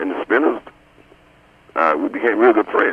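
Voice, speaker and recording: A man with an American accent can be heard amid noticeable background noise. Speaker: soul singer, founding group member. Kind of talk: radio interview. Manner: halting with fillers.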